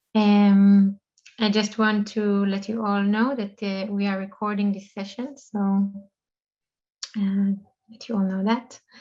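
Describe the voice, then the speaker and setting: A woman with a non-native accent speaks fairly slowly at a medium pitch, her somewhat breathy, dark and mellow voice flat and monotone, broken by long, frequent pauses. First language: not English. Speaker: online event host. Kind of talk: event opening remarks. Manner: halting, many fillers.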